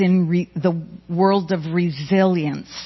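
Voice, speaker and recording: Using monotone, flat intonation, a woman with an American accent speaks at medium pitch and a very slow pace. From New York. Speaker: education researcher and professor. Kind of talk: panel talk. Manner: loud.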